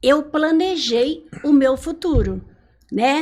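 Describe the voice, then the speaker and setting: A woman's voice with lively intonation. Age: 70s. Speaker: retired teacher. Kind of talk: interview.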